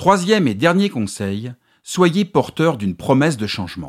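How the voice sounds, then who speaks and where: Very wide pitch swings mark this man's fairly high voice at a moderate pace. The sound is dry and close with no echo, a very clean recording against a silent background. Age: 50s. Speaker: podcast host and communication consultant. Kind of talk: solo podcast monologue giving advice. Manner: clear, structured delivery.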